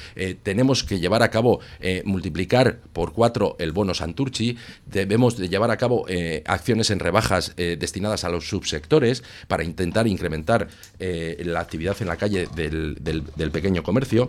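Speaking at a moderate pace, a man with a very deep, low pitch uses lively intonation. The recording is very clean, with a silent background. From Basque Country, Santurtzi. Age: 40s. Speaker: municipal election candidate. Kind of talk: radio election debate.

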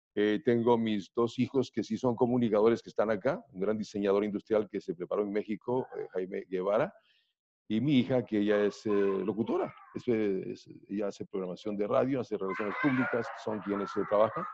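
This man has a coastal Ecuadorian accent and a fairly low pitch. He talks at a moderate pace with fairly even intonation. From Ecuador, Riobamba, raised in Guayaquil and Quito. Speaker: radio announcer and sports commentator. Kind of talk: interview.

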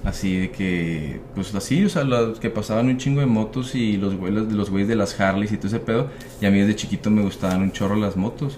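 A man's fairly low voice at a fairly quick pace, with hardly any pauses, ordinary pitch variation and noticeable background noise. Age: 30s. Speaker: baseball player. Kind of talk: casual chat. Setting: studio.

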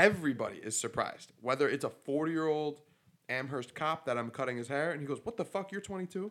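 Very fast pace from a man with an American accent, fairly high pitch and lively intonation, on a very clean recording with a silent background. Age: 20s. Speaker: barber and podcast co-host. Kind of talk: casual chat. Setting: home recording, handheld mics.

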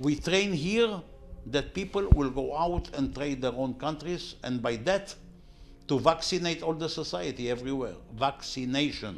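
The voice has vocal fry and lively intonation, moving at a moderate pace. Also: man, fairly high pitch for a man. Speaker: security academy founder. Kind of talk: interview. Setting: at his home.

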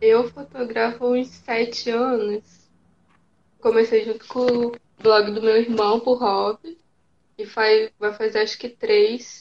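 Very slow and broken by long, frequent pauses, a woman's fairly high voice stays monotone and flat. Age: 20s. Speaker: guest, makeup artist and photographer. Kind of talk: casual live chat. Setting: live video stream. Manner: shy.

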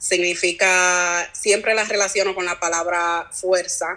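A woman speaks at medium pitch in a bright, sharp tone. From US, New York City. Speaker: single mother. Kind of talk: casual chat.

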